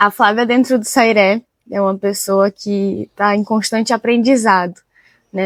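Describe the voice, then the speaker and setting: With an unremarkable speaking voice, a woman talks at a fairly high pitch and moderate pace with fairly even intonation, the sound dry and close with no echo. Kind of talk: interview.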